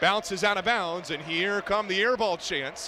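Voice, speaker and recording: A man with a high voice raises and projects it with ordinary pitch variation over noticeable background noise. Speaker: radio sports play-by-play announcer. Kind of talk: college basketball play-by-play. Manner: fast, energetic.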